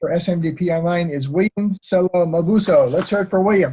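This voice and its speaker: With an American accent, the speaker goes at a very fast pace in a dark, mellow tone. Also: man. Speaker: online course instructor. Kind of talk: virtual graduation ceremony. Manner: hesitant, many fillers.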